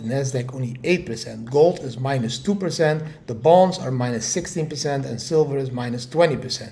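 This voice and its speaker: Against noticeable background noise and audible room echo, a man talks at a fairly quick pace with hardly any pauses, a fairly high pitch and ordinary pitch variation. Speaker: crypto market commentator. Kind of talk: market update video. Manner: animated.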